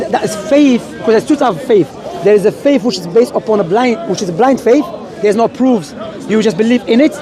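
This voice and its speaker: Crowd noise fills the background as a man talks at a very fast pace. His high-pitched voice carries lively intonation. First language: not English. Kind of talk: street debate.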